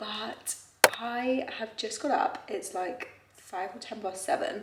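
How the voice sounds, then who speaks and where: A woman with a British accent speaks at a fairly high pitch with lively intonation. Noticeable background noise and audible room echo surround her voice. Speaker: fitness vlogger. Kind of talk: casual vlog narration. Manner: soft-spoken.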